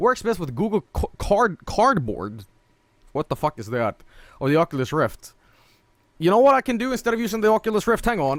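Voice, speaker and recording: A man with a Swedish accent speaks at a fairly quick pace in a high voice for a man, his pitch swinging very widely, with long, frequent pauses and a dry, close sound with no echo. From northern Sweden. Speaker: streamer. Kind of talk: gameplay stream commentary. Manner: animated.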